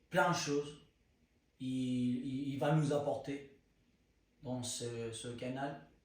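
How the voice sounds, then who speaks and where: There is audible room echo as a man with a fairly high pitch talks at a very slow pace, with fairly even intonation and long, frequent pauses. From Spain. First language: Spanish (speaking French). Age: 20s. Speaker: content creator. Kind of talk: personal testimony. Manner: halting, searching for words.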